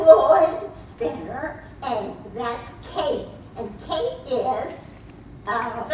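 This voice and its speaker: A woman's put-on character voice at a high pitch, very slow pace with long, frequent pauses, slight echo and clear background noise. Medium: stage play. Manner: brisk, commanding.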